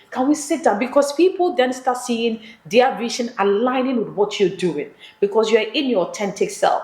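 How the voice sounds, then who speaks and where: Over noticeable background noise, a woman with a high voice speaks at a moderate pace, her pitch swinging very widely. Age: 40s. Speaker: media entrepreneur. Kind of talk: casual interview chat.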